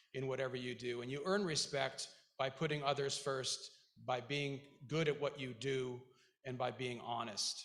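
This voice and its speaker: A man with a slight Icelandic accent speaks at a moderate pace, his fairly high pitch carrying a bright, sharp tone. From Iceland, moved to US very young. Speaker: school board member, Marine veteran, businessman. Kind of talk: commencement speech. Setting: graduation ceremony stage with audience. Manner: halting, with many fillers.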